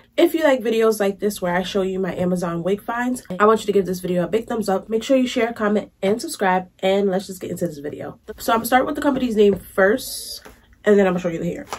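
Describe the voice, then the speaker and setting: Amid noticeable background noise, a woman at medium pitch talks at a very fast pace with lively intonation and hardly any pauses. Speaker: beauty vlogger. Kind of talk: product review vlog. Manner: casual, chatty.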